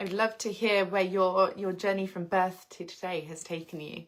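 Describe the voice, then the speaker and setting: A woman with an English accent talks at a moderate pace and medium pitch. The recording is very clean, with a silent background. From England, outskirts of London. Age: 30s. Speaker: lifestyle livestreamer. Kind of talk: casual livestream chat.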